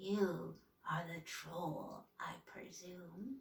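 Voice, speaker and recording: A woman's raspy, whispering put-on character voice. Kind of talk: bedtime story. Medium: read story. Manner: secretive, menacing.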